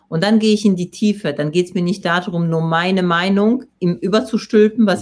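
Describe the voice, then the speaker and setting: A woman with a Polish accent speaks at a fairly quick pace and a medium pitch. Her voice is somewhat breathy, with ordinary pitch variation. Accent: Polish accent, rolled r. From Poland. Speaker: personal development coach and speaker. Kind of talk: interview. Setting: live video stream.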